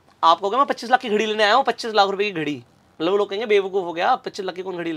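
This man talks at a fairly quick pace. His intonation is lively. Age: 20s. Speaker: business coach; podcast guest, business coach. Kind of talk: interview conversation. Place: studio. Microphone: lapel.

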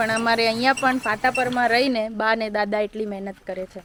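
A woman speaks at a fairly high pitch. Noticeable background noise can be heard behind her. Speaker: vlogger. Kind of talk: casual vlog narration.

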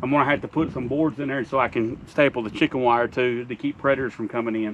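Against light background noise, a man speaks at a fairly quick pace with ordinary pitch variation. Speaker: homesteader vlogger. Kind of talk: casual vlog chat. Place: farm machine.

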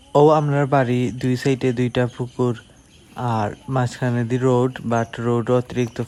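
Over noticeable background noise, a man talks in monotone, flat intonation at a medium pitch. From Bangladesh, Sylhet (Beanibazar). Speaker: vlogger. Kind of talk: vlog narration.

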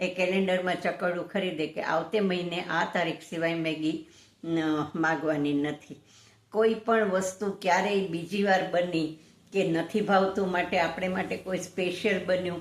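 A woman speaks in a fairly low pitch. Her intonation is monotone and flat. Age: 60s. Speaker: lawyer. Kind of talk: vlog commentary.

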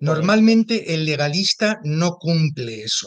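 A man with a high pitch speaks at a very slow pace with lively intonation over a quiet background. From Spain, Zaragoza; Spain. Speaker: theologian; interview guest. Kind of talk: interview. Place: home room. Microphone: video call.

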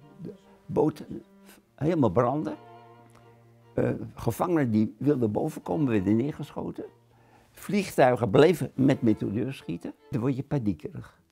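Faint music plays in the background as the speaker moves at a fairly slow pace. The intonation is lively, broken up by long, frequent pauses. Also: man. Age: 80s+. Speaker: concentration camp survivor, war witness. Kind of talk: interview answer. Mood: grave, recalling wartime horror. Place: home room. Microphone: lapel.

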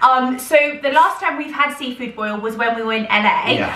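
A woman speaks at a fairly quick pace in a high pitch. There is audible room echo. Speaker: vlogger. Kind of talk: casual vlog chat. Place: kitchen.

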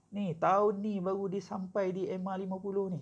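This man's voice rides high. He talks very slowly. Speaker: forex trading mentor. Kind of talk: tutorial. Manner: casual, code-switching with filler sounds.

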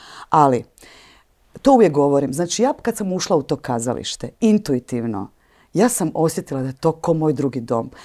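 Very wide pitch swings and a dark, mellow tone at a moderate pace, over a quiet background. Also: woman, very deep, low pitch for a woman. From eastern Croatia (Slavonia), childhood partly in Switzerland; Croatia. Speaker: stage and screen actress; screen actress. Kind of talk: interview. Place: hall. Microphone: lapel.

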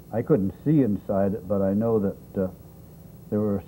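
Light background noise sits behind a man whose pitch is fairly low. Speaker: children's TV host. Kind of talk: gentle storytelling to children while drawing. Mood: warm, playful, slow. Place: studio. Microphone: lapel.

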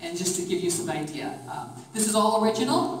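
Audible room echo and light background noise accompany the recording. A woman talks at a fairly quick pace. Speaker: tour guide. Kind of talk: guided tour talk. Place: hall. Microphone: camera far.

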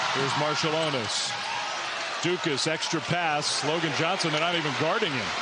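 A man talks at a moderate pace, the sound dry with no echo, with loud background noise behind him. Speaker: play-by-play sports commentator. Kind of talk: live sports commentary. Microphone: headset.

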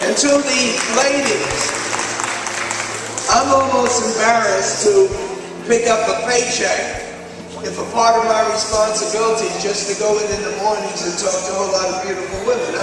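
Over clear music in the background and strong room echo, a man speaks at a moderate pace with long, frequent pauses. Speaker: politician giving a speech. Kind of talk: public speech. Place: hall.

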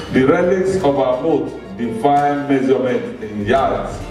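Clear music plays in the background as a man speaks in a fairly high pitch with audible room echo. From Nigeria. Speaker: poet. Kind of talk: poetry reading. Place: hall.

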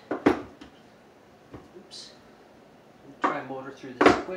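Loud background noise sits behind the speech. A man talks with ordinary pitch variation. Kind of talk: casual cooking tutorial. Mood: relaxed, joking. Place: kitchen. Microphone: camera far.

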